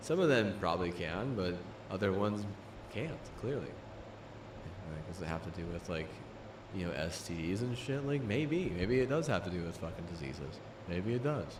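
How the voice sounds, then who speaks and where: Animated in tone, a man with a very deep, low pitch speaks with lively intonation amid audible room echo. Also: moderate pace. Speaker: livestreamer. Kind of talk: casual livestream chat. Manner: halting, repetitive; casual, animated.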